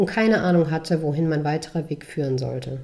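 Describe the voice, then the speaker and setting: A woman's dark, mellow voice moves at a moderate pace with ordinary pitch variation. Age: 20s. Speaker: podcast host and author. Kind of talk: reading aloud; casual monologue. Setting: hospital. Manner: halting with fillers.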